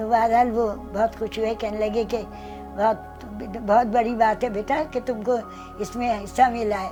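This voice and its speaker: With music in the background, a woman speaks in a fairly high voice with fairly even intonation. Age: 80s+. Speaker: singer. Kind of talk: interview answer.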